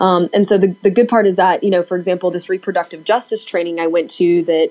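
Speaking with an East Tennessee accent, a woman uses a fairly low pitch and fairly even intonation. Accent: US Southern (East Tennessee). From Tennessee, Knoxville. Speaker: political organizer. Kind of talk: casual interview chat. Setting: remote call.

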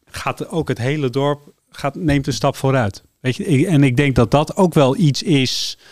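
A man talks at a fairly slow pace with a fairly high pitch and ordinary pitch variation in an unremarkable speaking voice. The sound is dry and close, with no echo. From Netherlands, Amsterdam. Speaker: telecom company director. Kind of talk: radio interview.

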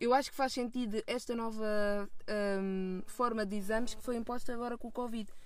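Speaking at a moderate pace, a woman keeps her fairly high pitch in fairly even intonation. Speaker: film student. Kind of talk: casual chat. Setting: in a car.

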